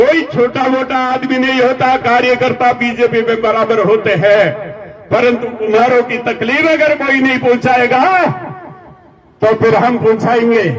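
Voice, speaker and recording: This man's voice sits at an extremely high pitch. Room echo is audible, and there is noticeable background noise. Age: 70s. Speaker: community leader. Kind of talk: political rally speech. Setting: stage with audience. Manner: loud; animated.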